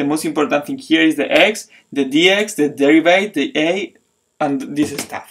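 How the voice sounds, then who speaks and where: With a non-native accent, a man speaks at a moderate pace in a fairly high pitch, his intonation lively. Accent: foreign accent, self-described funny. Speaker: math teacher. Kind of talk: tutorial. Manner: halting, many fillers and restarts.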